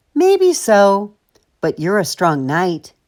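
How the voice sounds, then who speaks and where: The voice sounds female and sits at a middle pitch. It is a put-on character voice. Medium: read story.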